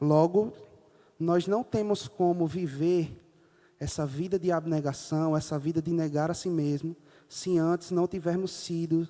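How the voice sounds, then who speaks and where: A man's high-pitched, dark, mellow voice at a fairly slow pace, with fairly even intonation. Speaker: preacher. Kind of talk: sermon.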